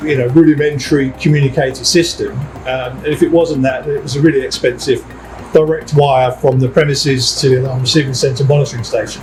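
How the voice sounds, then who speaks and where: A man's fairly high, flat monotone at a very fast pace, over background music. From East End of London. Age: 60s. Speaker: security company managing director. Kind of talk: interview. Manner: conversational, with hesitations and repeats.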